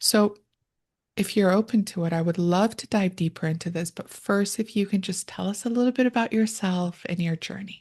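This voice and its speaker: At a moderate pace, a woman speaks with a medium pitch and a somewhat breathy voice. Her intonation is fairly even, over a quiet background. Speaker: podcast host and therapist. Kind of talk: interview podcast.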